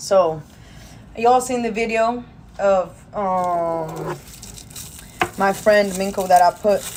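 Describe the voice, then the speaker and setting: With a Spanish accent, a woman speaks at a very slow pace in a medium-pitched voice with ordinary pitch variation and long, frequent pauses. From Peru. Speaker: streamer. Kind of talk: casual chat. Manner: casual, halting.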